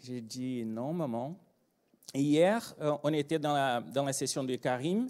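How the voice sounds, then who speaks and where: A man with a Brazilian accent and a fairly high pitch talks at a very slow pace, leaving long, frequent pauses. The background is quiet. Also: ordinary pitch variation. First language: Portuguese (speaking French). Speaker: agile trainer and consultant; agile trainer. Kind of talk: conference talk. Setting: stage with audience. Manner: animated. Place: hall. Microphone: handheld.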